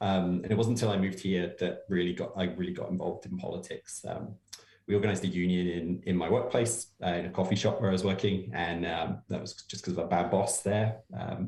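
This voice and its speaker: A man's very deep, low voice, somewhat breathy, at a fairly quick pace with fairly even intonation. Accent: English. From England. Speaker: political campaigner. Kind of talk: podcast interview. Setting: remote call.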